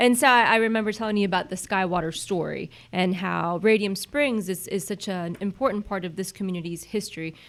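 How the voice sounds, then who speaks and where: On a very clean recording with a silent background, a woman speaks at medium pitch with ordinary pitch variation. Her pace is fairly quick, with hardly any pauses. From Central Florida (born Puerto Rico, moved at seven). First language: Spanish. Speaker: chamber of commerce president. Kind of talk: casual chat. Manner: animated.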